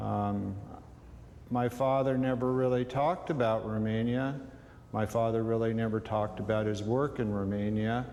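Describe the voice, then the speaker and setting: A man with a dark, mellow tone speaks at medium pitch and a moderate pace. His loudness is very even, his intonation fairly even, and the room echo is audible. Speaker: sculptor. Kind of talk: interview. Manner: halting, many fillers.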